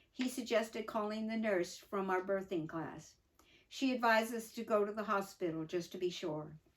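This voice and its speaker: A woman talks at a fairly quick pace, her medium-pitched voice showing ordinary pitch variation. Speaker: mother telling her life story. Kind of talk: reading aloud from her own memoir with asides; casual aside. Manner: halting.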